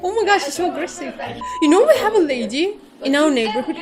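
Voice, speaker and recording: With music in the background and audible room echo, a woman speaks at a fairly quick pace with lively intonation. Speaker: vtuber streamer. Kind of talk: casual reaction stream chat.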